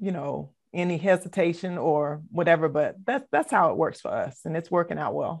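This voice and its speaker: In a quiet background, a woman with an American accent talks in an ordinary speaking voice. Her pitch is fairly low, with ordinary variation, at a moderate pace. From US South, Savannah, Georgia. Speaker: assistant pastor. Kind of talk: interview.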